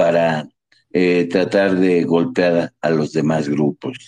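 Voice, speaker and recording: A man at a very slow pace. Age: 60s. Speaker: journalist. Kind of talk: political discussion.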